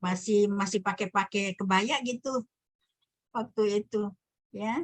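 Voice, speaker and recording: At a very slow pace, a woman speaks at a medium pitch with fairly even intonation in a dry, close sound with no echo. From Sumbawa, Dompu, Indonesia. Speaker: lecturer. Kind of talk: online lecture, casual chat with students.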